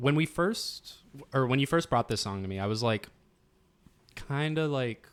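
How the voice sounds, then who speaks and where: With lively intonation and long, frequent pauses, a man speaks at a moderate pace and a medium pitch. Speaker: band member podcast co-host. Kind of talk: casual chat.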